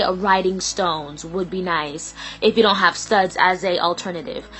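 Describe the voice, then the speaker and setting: A woman speaks with music in the background. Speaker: DIY video creator. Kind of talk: tutorial. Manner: stuttering; casual, hesitant with fillers.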